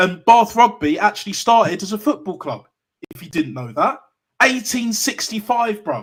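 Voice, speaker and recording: The speaker has a London accent. The intonation is lively. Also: man, high pitch for a man, moderate pace. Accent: London multicultural English. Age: 30s. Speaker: football YouTuber. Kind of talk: live call-in show discussion. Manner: animated.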